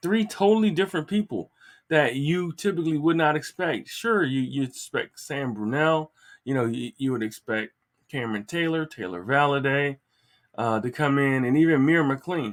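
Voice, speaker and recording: The speech moves at a moderate pace with lively intonation. The recording is very clean with a silent background and sounds dry and close with no echo. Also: man, fairly high pitch for a man. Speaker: sports podcast host. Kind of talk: sports podcast commentary. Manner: halting, many fillers and repeats.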